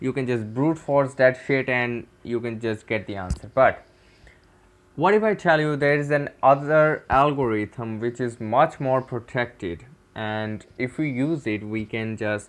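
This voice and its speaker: With a Pakistani accent, a man speaks at a fairly slow pace with ordinary pitch variation over a quiet background. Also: medium pitch for a man. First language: Urdu. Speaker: cybersecurity tutor. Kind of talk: tutorial. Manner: halting.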